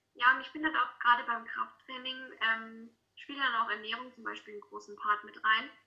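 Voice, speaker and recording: The speaker uses a plain, everyday voice at a moderate pace, with fairly even intonation but big swings in loudness. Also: woman, fairly high pitch for a woman. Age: 20s. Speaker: student and model. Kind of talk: casual interview. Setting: video call.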